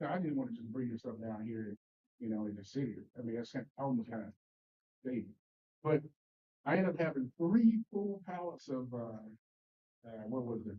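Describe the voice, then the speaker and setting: A man's medium-pitched voice with a Mississippi accent, moderate pace and lively intonation. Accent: Southern US (Mississippi). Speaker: Sunday school teacher. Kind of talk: Bible study class discussion. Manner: halting, many repetitions and fillers.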